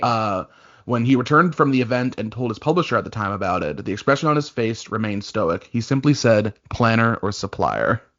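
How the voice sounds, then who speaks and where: A man speaks at medium pitch and a fairly quick pace, with ordinary pitch variation. He has an unremarkable speaking voice. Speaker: digital content coordinator. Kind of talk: podcast co-host reading and reacting to stories. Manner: casual, conversational.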